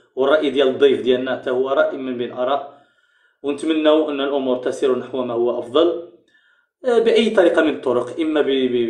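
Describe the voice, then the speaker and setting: A man talks at a moderate pace with a fairly high pitch. Room echo is audible. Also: ordinary pitch variation. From Morocco. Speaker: online talk show host and researcher; online talk show host. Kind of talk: live-streamed interview. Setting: online live stream. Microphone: webcam.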